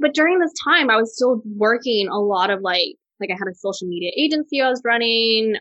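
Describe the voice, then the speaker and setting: A woman speaks in an ordinary speaking voice with an American accent. Her pitch is fairly high, her intonation lively, and her pace moderate. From Texas. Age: 30s. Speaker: food and travel blogger. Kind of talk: interview.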